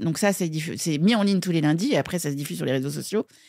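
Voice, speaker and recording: A woman's fairly low, dark, mellow voice with ordinary pitch variation, in a very clean recording with a silent background. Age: 50s. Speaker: media co-founder and producer. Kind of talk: podcast interview.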